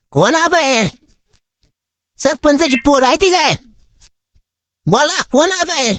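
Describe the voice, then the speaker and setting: In a put-on character voice, a man speaks at an extremely high pitch. His pace is fairly slow. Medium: voice reel. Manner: gruff, rustic.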